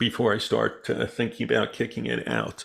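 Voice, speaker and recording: A man at a moderate pace. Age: 60s. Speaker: stock market educator. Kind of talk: market analysis show. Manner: hesitant with many fillers.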